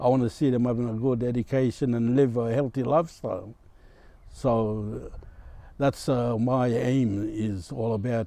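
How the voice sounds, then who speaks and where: A man's dark, mellow, medium-pitched voice, fairly slow and fairly even in intonation. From Torres Strait Islands, Australia. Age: 70s. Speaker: community elder. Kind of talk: health advice talk. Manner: halting, frequent uh fillers.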